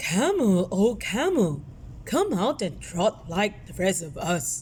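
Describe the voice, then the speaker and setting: A female-sounding, put-on character voice at a middle pitch, with clear background noise. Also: fairly slow pace. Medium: read story.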